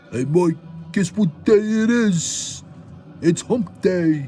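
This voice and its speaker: A man's put-on character voice, high and lively in intonation, very slow, over clear background noise. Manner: cheeky, teasing.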